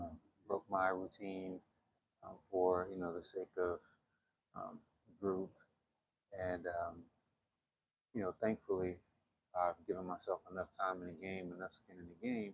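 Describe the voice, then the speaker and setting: Quiet and monotone, a man with a very deep, low voice talks at a fairly slow pace with long, frequent pauses and big swings in loudness, the sound dry and close with no echo. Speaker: qigong instructor. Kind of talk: guided exercise class. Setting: gym while traveling. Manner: hesitant, many fillers.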